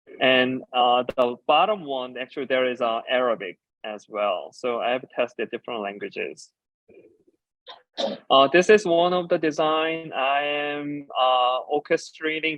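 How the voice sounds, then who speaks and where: A man with a Korean accent and a fairly high pitch talks at a fairly slow pace. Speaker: designer and educator. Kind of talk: conference talk.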